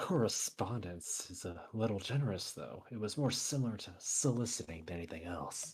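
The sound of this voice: The reading voice is unforced. Its intonation moves in a lively way.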